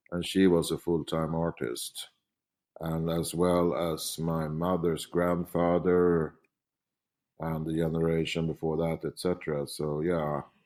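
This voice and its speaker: In a very clean recording with a silent background, a man with a Swedish accent speaks at a fairly slow pace in a very deep, low pitch. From Sweden, Stockholm. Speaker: painter. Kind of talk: interview. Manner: halting.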